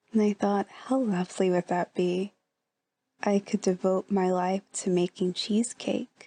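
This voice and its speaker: In a normal speaking voice, a woman with a medium pitch speaks with very even loudness and fairly even intonation in a dry, close sound with no echo. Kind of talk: ASMR relaxation talk. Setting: indoors, bedroom. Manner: gentle, soft-spoken, whispery.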